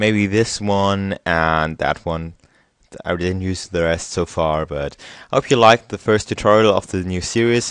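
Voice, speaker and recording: A man with a German accent talks at a fairly slow pace. His pitch is very deep and low, and the background is quiet. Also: ordinary pitch variation. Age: young. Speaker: software tutorial youtuber. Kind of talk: tutorial. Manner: halting; casual.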